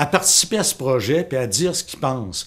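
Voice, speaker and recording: This man talks at a fairly slow pace with lively intonation and a medium pitch. The recording is very clean, with a silent background. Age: 60s. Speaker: teacher and parent. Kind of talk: political testimony. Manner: halting.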